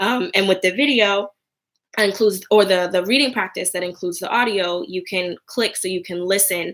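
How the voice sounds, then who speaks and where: A woman talks at a fairly quick pace. Her pitch is medium and her intonation fairly even. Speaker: online Hebrew teacher. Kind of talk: live stream Q&A. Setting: live video stream. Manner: fast.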